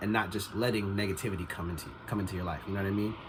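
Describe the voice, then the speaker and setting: A man with a fairly low-pitched voice. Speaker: motivational vlogger. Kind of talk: casual motivational vlog monologue. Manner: casual, filler-heavy.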